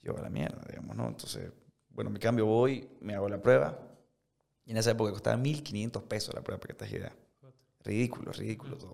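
Speaking very fast, a man at medium pitch shows vocal fry and ordinary pitch variation. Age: 20s. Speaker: restaurant entrepreneur. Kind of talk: casual interview.

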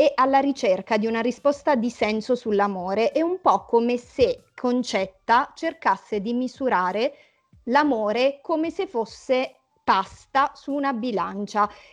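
Music plays in the background as a woman talks fairly slowly. Her voice is high, with ordinary pitch variation. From Italy, home town left for Milan. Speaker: emerging novelist. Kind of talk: interview, casual chat. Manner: hesitant with fillers.

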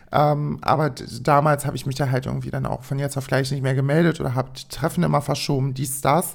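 A woman with a very deep, low pitch and vocal fry, speaking fairly quickly. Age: 20s. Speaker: solo podcast host. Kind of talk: casual monologue. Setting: home recording at own microphone. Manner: animated.

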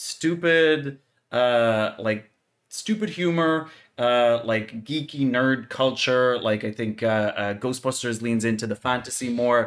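A man talks at a very slow pace and medium pitch with ordinary pitch variation. The recording is very clean, with a silent background. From Ireland. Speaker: podcast co-host. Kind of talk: casual chat.

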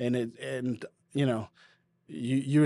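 Dark, mellow male voice with a slight Boston accent, medium pitch, fairly even intonation and a fairly slow pace, on a very clean, silent-background recording with a dry, close sound and no echo. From New England, US. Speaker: podcast host and churchgoer. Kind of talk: casual podcast chat with encouragement. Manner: warm, encouraging.

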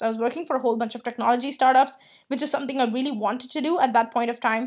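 Enthusiastic and high-pitched, a woman speaks at a very fast pace with ordinary pitch variation. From India. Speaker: freelance business coach and podcast host. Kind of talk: casual solo podcast monologue.

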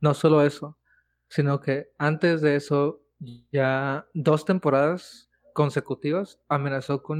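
With a Mexican accent, a man speaks at a fairly high pitch in a monotone, flat intonation. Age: 20s. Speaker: podcast co-host. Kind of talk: casual chat.

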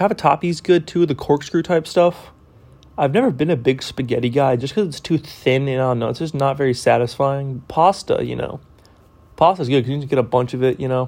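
In an American accent, a man speaks at a fairly quick pace with a fairly high pitch. It is an ordinary speaking voice with ordinary pitch variation. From Texas. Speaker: college student. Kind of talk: self-introduction monologue. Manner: casual.

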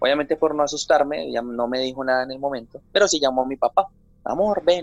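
A man with a medium pitch and ordinary pitch variation talks in a normal speaking voice. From Colombia, Santander. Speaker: TV journalist. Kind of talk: interview. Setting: remote from home.

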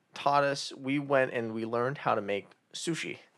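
On a very clean recording with a silent background, a man with an unremarkable speaking voice talks at medium pitch and a moderate pace. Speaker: podcast co-host. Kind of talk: casual chat.

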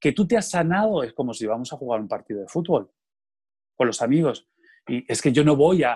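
A man with a fairly high pitch speaks at a fairly quick pace with lively intonation and a somewhat breathy voice, in a dry, close sound with no echo. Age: 40s. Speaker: theatre artist. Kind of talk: interview conversation.

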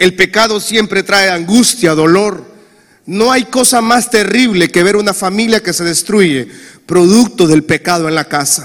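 A man's high-pitched voice at a fairly slow pace, with noticeable background noise. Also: ordinary pitch variation. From Honduras. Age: 40s. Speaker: pastor. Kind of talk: sermon. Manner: animated.

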